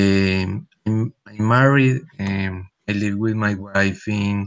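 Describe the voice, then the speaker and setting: Speaking at a very slow pace with a Spanish accent, a man keeps his fairly low-pitched voice at a fairly even intonation. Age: 30s. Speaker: language student. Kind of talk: self-introduction.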